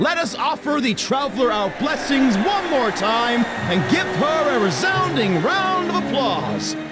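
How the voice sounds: Over clear music in the background, a man puts on a character voice at an extremely high pitch, with big pitch swings and a fairly slow pace.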